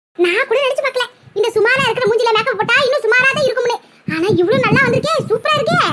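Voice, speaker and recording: A woman puts on a cartoonish character voice at an extremely high pitch. She speaks at a fairly quick pace. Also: ordinary pitch variation, very even loudness. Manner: boastful, blunt.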